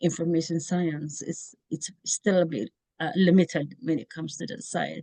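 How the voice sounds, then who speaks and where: In a dry, close recording with no echo, a woman with a fairly low voice talks at a moderate pace with ordinary pitch variation. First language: not English. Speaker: information science researcher. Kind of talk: interview. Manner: halting.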